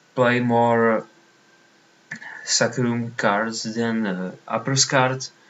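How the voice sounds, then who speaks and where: In a Czech accent, a man delivers his words at a very slow pace. His intonation is monotone and flat. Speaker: online card game player. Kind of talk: gameplay commentary. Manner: halting.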